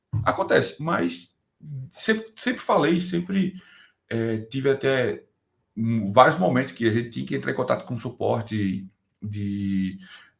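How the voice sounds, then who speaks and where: At a fairly slow pace with long, frequent pauses, a man speaks in a somewhat breathy voice at medium pitch with very wide pitch swings, in a very clean recording with a silent background. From Brazil. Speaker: DevOps engineer. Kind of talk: interview. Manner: casual, hesitant with repetitions.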